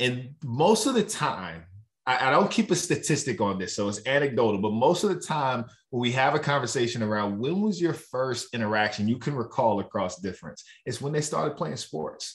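Moving through very wide pitch swings from a medium base, a man speaks at a moderate pace. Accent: American. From Virginia, Roanoke. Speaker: diversity and inclusion consultant. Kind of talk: live vodcast interview. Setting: video call.

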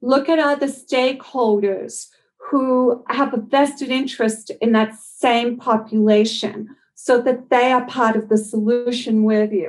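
With an Australian accent, a woman speaks high-pitched at a fairly slow pace, her intonation fairly even and her loudness very even. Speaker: dental public health expert. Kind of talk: interview.

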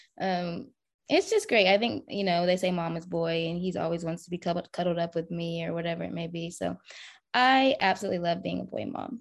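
An ordinary speaking voice with an American accent and ordinary pitch variation comes through against a quiet background. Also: woman, fairly low pitch for a woman. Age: 30s. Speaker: single mother, social media creator. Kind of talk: podcast interview.

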